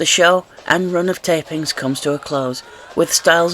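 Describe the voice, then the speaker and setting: A man's voice sits fairly high and moves at a moderate speed. Behind it, music plays, and his pitch varies in an ordinary way. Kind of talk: wrestling history narration.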